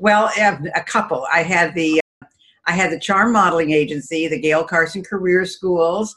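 Her American accent comes through in an ordinary speaking voice as this woman talks at a moderate pace and fairly low pitch with ordinary pitch variation. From Albany, New York. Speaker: entrepreneur and speaker. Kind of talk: interview.

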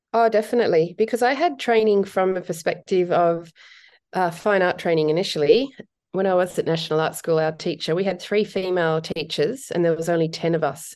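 A woman with an Australian accent talks at a fairly quick pace, her pitch fairly low. Her pitch varies in an ordinary way, and the background is quiet. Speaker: portrait photographer. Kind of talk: interview.

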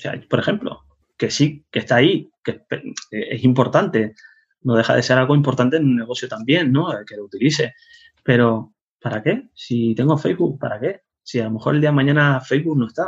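At a moderate pace, a man speaks at medium pitch with ordinary pitch variation and a somewhat breathy quality. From Spain, Canary Islands (Tenerife). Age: 40s. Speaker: web developer. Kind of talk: casual interview.

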